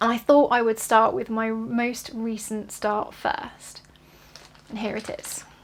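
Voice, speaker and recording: A woman with a British accent, very slow and monotone with flat intonation, over noticeable background noise. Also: fairly high pitch for a woman. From southeast England, near London. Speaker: cross-stitch vlogger. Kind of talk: casual vlog. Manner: hesitant, with many fillers.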